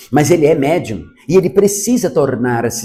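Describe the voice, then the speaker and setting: Vocal fry at a very slow pace. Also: man. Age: 60s. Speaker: Umbanda priest. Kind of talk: religious teaching talk.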